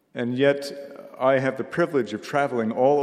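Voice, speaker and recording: Through noticeable background noise, a man of medium pitch speaks at a moderate pace. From United States. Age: 50s. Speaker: missionary speaker. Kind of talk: sermon. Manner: short phrases paused for interpreter.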